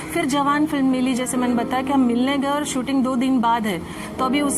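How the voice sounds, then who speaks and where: A woman speaks at a high pitch and a moderate pace. Audible room echo and noticeable background noise surround her. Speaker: former film actress, vlogger. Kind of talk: personal life story vlog. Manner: animated storytelling.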